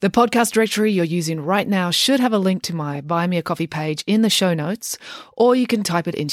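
Reading aloud in a natural voice fills the recording.

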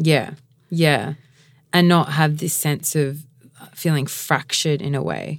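In an Australian accent, a woman with a very deep, low pitch and vocal fry speaks at a fairly slow pace, with fairly even intonation and long, frequent pauses. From Mount Gambier and Adelaide, South Australia. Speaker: podcast host. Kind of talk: casual interview chat.

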